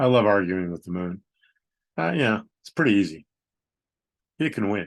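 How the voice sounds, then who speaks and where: Using an unremarkable speaking voice, a man with a fairly low pitch talks at a moderate pace with lively intonation and big swings in loudness. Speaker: poet reading his own haiku. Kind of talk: poetry reading with casual commentary.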